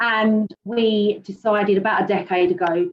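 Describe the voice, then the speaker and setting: A woman speaks in a British accent. Her intonation is monotone and flat. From UK. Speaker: panelist sharing fertility journey. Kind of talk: personal testimony on a panel.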